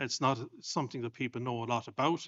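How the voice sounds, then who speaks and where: In an Irish accent, a man speaks at a medium pitch with monotone, flat intonation. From Ireland. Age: 50s. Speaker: clergyman, bereaved husband. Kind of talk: panel discussion testimony. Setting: stage with audience.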